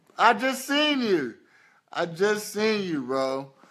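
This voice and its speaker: Very slow speech from a man, bright, sharp tone, very wide pitch swings, quiet background. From Indianapolis, Indiana (US Midwest). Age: 20s. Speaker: model and social media personality; live streamer. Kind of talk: casual livestream Q&A. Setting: Facebook live stream. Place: home room. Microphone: phone near.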